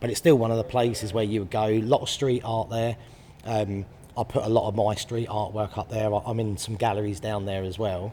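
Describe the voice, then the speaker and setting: Fairly quick, flat, monotone delivery in a southern English accent with a dark, mellow tone. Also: man, fairly low pitch for a man. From southern England, Brighton. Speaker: artist. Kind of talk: interview. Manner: hesitant, many fillers.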